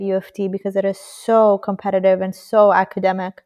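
Against a quiet background, a woman speaks fairly quickly at a medium pitch. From Iran. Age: 20s. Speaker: civil engineer. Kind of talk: interview.

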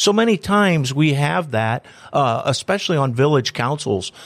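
Fairly high in pitch for a man, this voice carries a Midwestern American accent and makes very wide pitch swings. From Antwerp, northwest Ohio. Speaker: economic development director and radio host. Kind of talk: interview.

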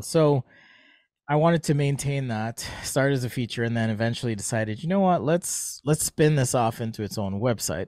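An unremarkable speaking voice from a man with an American accent, lively intonation and a fairly quick pace, on a very clean recording with a silent background. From Jamaica. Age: 40s. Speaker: industrial designer and sketching educator. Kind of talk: casual interview.

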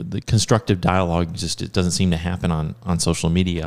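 Fairly even intonation from a man with a very deep, low pitch. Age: 40s. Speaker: school podcast host. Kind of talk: casual interview. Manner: halting, many restarts.

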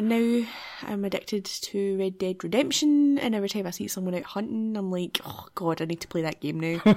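A woman with a Glaswegian accent, medium-pitched, fairly quick and lively in intonation, over noticeable background noise. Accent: Glaswegian Scottish. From Scotland, Glasgow area. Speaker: podcast co-host. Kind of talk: casual chat.

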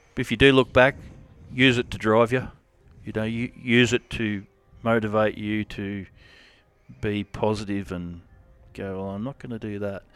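A man with an Australian accent talks at a moderate pace in a fairly low pitch, his intonation fairly even and broken by long, frequent pauses. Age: 40s. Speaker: rodeo cowboy. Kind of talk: casual interview. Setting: at a rodeo event.

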